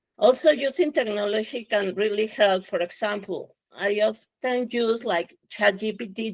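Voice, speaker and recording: A woman with a Spanish accent speaks fairly slowly at a medium pitch, with ordinary pitch variation. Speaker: scientist. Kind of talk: panel discussion.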